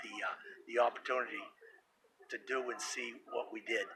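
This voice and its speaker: This is a man speaking. He keeps a moderate pace. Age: 60s. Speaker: retired snowmobile racer. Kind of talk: interview. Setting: induction ceremony event.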